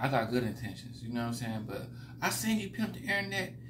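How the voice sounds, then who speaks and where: Through noticeable background noise, a man talks at a fairly quick pace. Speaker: vlogger commenting on another creator. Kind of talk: casual vlog rant. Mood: critical, mocking but calm. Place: home room. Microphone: phone near.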